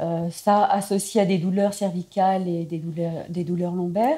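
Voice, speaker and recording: The tone is dark and mellow, with fairly even intonation. The pace runs fairly slow. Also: woman. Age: 60s. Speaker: ALS patient, former athlete. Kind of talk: interview testimony. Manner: hesitant.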